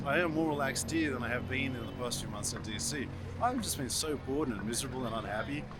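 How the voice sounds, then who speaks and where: A man with an Australian accent talks at a fairly quick pace. Music plays in the background amid audible room echo. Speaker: vlogger and marketing strategist. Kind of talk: travel vlog narration; interview.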